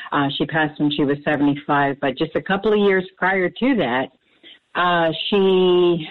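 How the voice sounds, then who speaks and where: A woman with an American accent uses a normal speaking voice, fairly low in pitch, with lively intonation at a fairly slow pace. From New Jersey, Camden. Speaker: caller. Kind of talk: phone-in call. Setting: phone call.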